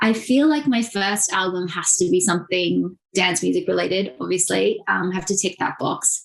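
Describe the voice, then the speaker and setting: A woman's medium-pitched voice in an Australian accent, moderate pace, lively intonation. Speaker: journalist and digital strategist. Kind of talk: podcast interview.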